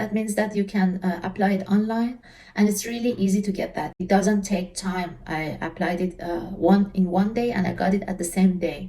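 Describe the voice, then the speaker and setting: This is a woman speaking with an Iranian accent. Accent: Iranian (Persian). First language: Persian. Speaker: travel vlogger. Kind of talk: casual tutorial. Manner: halting, frequent fillers.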